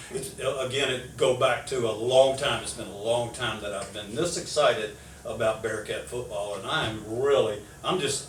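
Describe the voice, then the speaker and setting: A man talks at a moderate pace and medium pitch, with ordinary pitch variation and big swings in loudness. Audible room echo and noticeable background noise fill the recording. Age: 70s. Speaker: sports radio show host. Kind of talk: casual interview chat.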